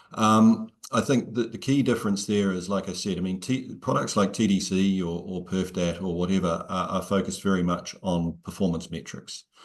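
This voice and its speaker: A man's very deep, low voice at a moderate pace, with fairly even intonation, hardly any pauses and a quiet background. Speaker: software company director; presenter. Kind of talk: webinar Q&A. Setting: video call. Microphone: earbuds.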